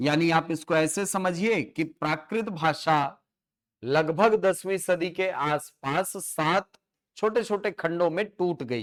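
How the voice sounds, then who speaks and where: His pitch is high. The man varies it in an ordinary way. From Chhattisgarh, India. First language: Chhattisgarhi (speaking Hindi). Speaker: teacher. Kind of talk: lecture. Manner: halting with fillers and repetitions.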